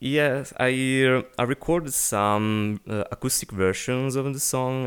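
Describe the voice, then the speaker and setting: Speaking at a fairly slow pace, a man with an Italian accent uses ordinary pitch variation. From Italy. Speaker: singer-songwriter. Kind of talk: casual interview. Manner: halting, searching for words.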